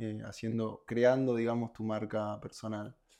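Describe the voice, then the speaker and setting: The pace is fairly slow and the tone dark and mellow. The background is quiet. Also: man. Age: 20s. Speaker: podcast host and model. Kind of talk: casual interview chat.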